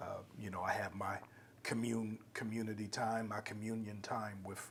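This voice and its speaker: Against noticeable background noise, a man with a fairly low pitch talks at a moderate pace in a monotone, flat intonation. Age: 50s. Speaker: podcast host. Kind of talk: interview conversation.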